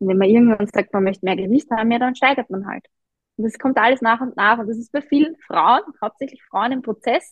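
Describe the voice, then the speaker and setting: A woman with a normal speaking voice, fairly high pitch, ordinary pitch variation and a fairly quick pace. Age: 30s. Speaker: running coach and personal trainer. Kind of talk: interview.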